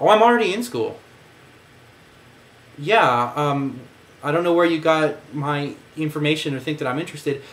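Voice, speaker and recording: At a moderate pace, a man with a fairly high pitch speaks with long, frequent pauses and audible room echo. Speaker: vlogger. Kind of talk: casual monologue. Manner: halting.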